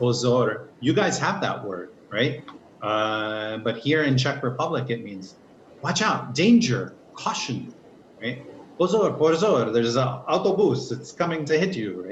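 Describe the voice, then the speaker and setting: Against noticeable background noise, a man with an American accent talks at a fairly slow pace and a medium pitch. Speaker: English teacher. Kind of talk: online class lesson.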